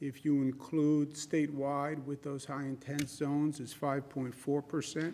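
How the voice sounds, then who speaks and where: A man at a fairly slow pace over light background noise. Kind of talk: press briefing. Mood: sober, measured. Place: hall.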